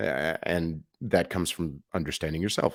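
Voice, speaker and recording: Here a man speaks with an American accent at a moderate pace. The recording is very clean, with a silent background. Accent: New York accent, coming back. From New York. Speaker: podcast host. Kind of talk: podcast interview.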